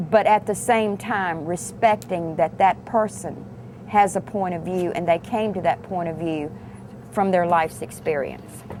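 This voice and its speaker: With a Virginia accent, a woman with a fairly low pitch speaks at a fairly slow pace with ordinary pitch variation over noticeable background noise. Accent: Southern US (Virginia). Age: 60s. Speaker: restaurant worker. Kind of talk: interview.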